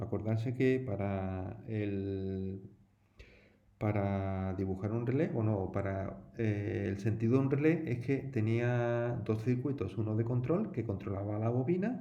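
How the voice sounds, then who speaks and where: In a room with audible echo, a man with an Andalusian accent speaks at a very slow pace, his dark, mellow tone sitting at medium pitch with ordinary pitch variation. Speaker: teacher. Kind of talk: tutorial. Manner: casual, conversational with fillers.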